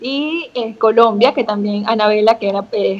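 A woman speaks in a plain, everyday voice. Her pitch is fairly high, and her pace is moderate. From Venezuela. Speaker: beauty queen; interview guest. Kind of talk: casual chat. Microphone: video call.

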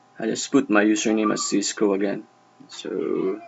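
Light background noise behind a male speaker. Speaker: network tutorial narrator. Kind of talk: tutorial. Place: home room.

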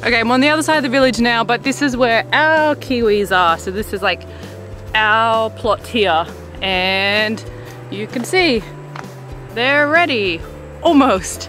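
Clear music sits behind a woman who speaks at a fairly slow pace with long, frequent pauses, the sound dry with no echo. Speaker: vlogger. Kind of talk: casual vlog chat. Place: bicycle. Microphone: phone near.

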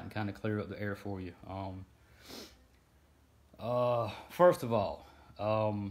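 This man has an unremarkable speaking voice, pitched fairly low. His intonation stays fairly even. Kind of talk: live stream explainer. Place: home room. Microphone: phone near.

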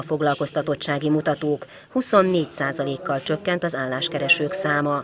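Noticeable noise sits behind the voice. The delivery is rather slow. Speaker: news reporter. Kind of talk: news reading.

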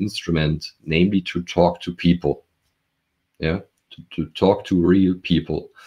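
Against a quiet background, a man with a German accent speaks in a very deep, low pitch at a moderate pace with fairly even intonation. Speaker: professor. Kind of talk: interview. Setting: video call from home. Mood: calm, explanatory. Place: home room. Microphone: video call.

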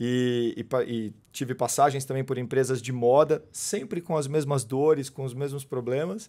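Against a quiet background, a man talks at a fairly slow pace in a medium-pitched voice with a dark, mellow tone and ordinary pitch variation. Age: 40s. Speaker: sales and marketing manager at a tech company; sales. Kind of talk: casual interview. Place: studio. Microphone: studio mic.

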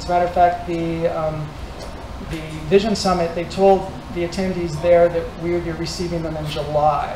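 There is noticeable background noise. Through it, a man speaks at a high pitch. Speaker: tech meetup organizer. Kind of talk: meetup announcements. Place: hall. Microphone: handheld.

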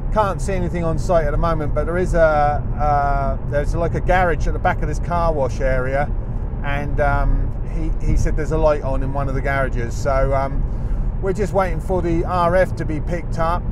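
A man speaks at a moderate pace, the sound dry and without echo but with noticeable background noise. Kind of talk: commentary. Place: car.

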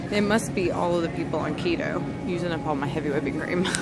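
Over music in the background, a woman talks at a fairly quick pace with ordinary pitch variation. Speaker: shopping vlogger. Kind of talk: casual vlog chat. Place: shop. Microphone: phone near.

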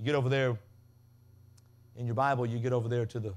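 A passionate tone delivered in a monotone, flat intonation. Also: man. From Mississippi. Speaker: pastor, guest preacher. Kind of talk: sermon, preaching. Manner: passionate, emphatic, call-and-response. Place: tent. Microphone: podium.

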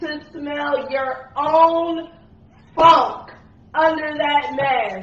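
Very slow speech from a woman with a high pitch and ordinary pitch variation, in audible room echo. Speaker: podcast host. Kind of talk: casual chat. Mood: joking rant. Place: home room.

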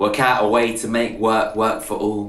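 There is audible room echo as a man speaks at a moderate pace. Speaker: poet. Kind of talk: slam poetry performance. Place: home room. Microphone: webcam.

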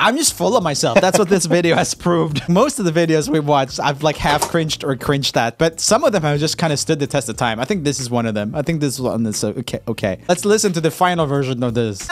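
With a Swedish accent, a man talks at a very fast pace with hardly any pauses. His intonation is lively. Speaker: YouTube musician, video host. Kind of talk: casual vlog chat. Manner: casual, chatty. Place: home room. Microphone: studio mic.

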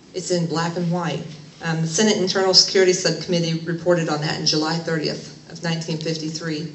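With audible room echo, a woman talks at a fairly quick pace and low pitch, her fairly bright tone showing little pitch movement.

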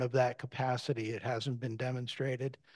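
A man's monotone, flat intonation at a moderate pace over a quiet background. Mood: calm, measured. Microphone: video call.

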